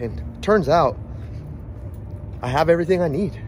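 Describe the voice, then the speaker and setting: A man at a moderate pace, with light background noise. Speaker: vlogger. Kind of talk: casual vlog chat. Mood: reflective, relaxed. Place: street. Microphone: phone near.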